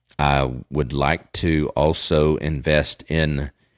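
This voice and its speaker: A man with a Southern accent talks at a very slow pace in a very deep, low voice, the sound dry and close with no echo. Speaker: crypto live streamer. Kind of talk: live stream Q&A. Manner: casual, hesitant with many fillers.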